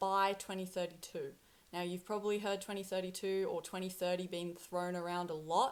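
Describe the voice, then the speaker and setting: A woman with an Australian accent at a medium pitch. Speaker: spiritual content creator. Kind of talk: casual monologue to camera.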